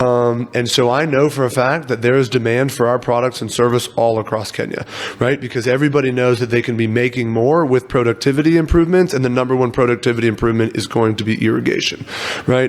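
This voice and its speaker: Over noticeable background noise, a man talks at a very fast pace. He has an American accent and a medium pitch. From US, Virginia. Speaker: agritech startup founder. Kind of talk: interview.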